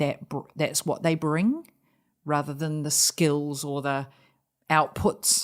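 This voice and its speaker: Recorded very cleanly against a silent background, a woman speaks with a New Zealand accent. Her pitch is very deep and low, and her intonation fairly even. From New Zealand (Auckland). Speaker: charity founder and leader. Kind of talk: podcast interview.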